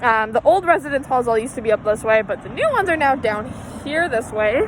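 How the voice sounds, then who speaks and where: Noticeable background noise sits under this voice. A woman talks at a very fast pace with a high pitch. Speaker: college student. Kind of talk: casual campus tour. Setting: outdoors, walking. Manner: casual, filler-heavy.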